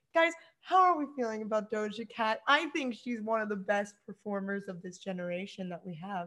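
A woman's fairly high voice at a fairly quick pace, animated in tone, with lively intonation and big swings in loudness. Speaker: podcast co-host. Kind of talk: casual chat.

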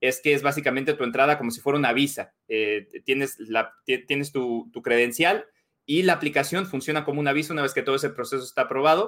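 A man with a fairly high voice talks very fast, his pitch variation ordinary. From Mexico. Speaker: sports journalist. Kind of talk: casual chat. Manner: halting.

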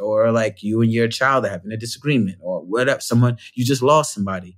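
A man with an American accent rattles along at a very fast pace. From New York (Bronx). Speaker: performer and storyteller. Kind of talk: casual chat.

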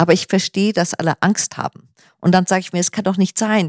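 Recorded very cleanly against a silent background, with a dry, close sound and no echo, a woman speaks in a plain, everyday voice at a medium pitch with fairly even intonation. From northern Germany, near Kiel. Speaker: artist and homeowner. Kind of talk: casual interview.

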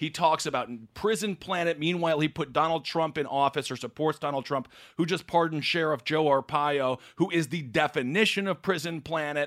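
A man with an American accent and a normal speaking voice, fairly high pitch, fairly quick pace and fairly even intonation. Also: very clean recording, silent background. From Wisconsin (Stevens Point). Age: 30s. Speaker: comedian and political commentator. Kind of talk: casual chat.

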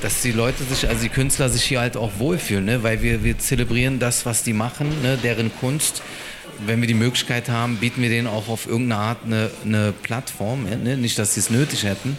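Noticeable background noise sits behind a man speaking at a fairly quick pace and medium pitch, with fairly even intonation and very even loudness. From Berlin-Neukölln. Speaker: restaurant co-founder. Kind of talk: casual interview. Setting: live podcast in restaurant.

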